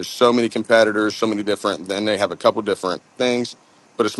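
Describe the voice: A man with an American accent speaks at a fairly low pitch with ordinary pitch variation.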